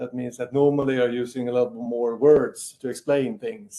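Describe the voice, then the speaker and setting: A Swedish accent carries a dark, mellow tone delivered at a moderate pace. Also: man. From Sweden. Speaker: military officer, wargaming expert. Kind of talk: interview.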